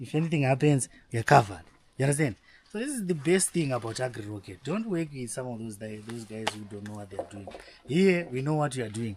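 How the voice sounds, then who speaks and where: A man talks very fast at a medium pitch, his intonation lively and his loudness swinging widely. Noticeable background noise sits behind him. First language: not English. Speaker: vlogger and new farmer. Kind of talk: casual vlog with promotion. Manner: animated.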